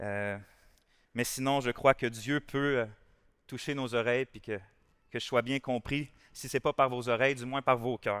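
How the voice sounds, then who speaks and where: A man in a Quebec accent talks at a fairly slow pace with fairly even intonation, long, frequent pauses and big swings in loudness, in a very clean recording with a silent background and a dry, close sound with no echo. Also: medium pitch for a man. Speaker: pastor. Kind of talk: sermon.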